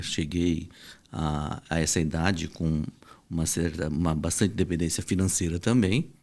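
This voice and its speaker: A man with a very deep, low pitch talks at a fairly slow pace with fairly even intonation, in a very clean recording with a silent background. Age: 60s. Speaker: reproductive medicine doctor. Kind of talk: podcast interview.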